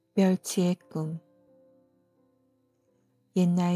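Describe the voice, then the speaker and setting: A woman speaks very slowly in a soothing, fairly low voice, dry and close with no echo, as music plays in the background. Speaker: storyteller. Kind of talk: bedtime folktale reading. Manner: soft, soothing.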